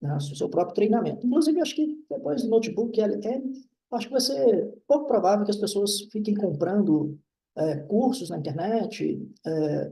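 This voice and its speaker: With a dark, mellow tone, a man talks at a moderate pace in a high pitch and lively intonation. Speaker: university professor. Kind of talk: lecture.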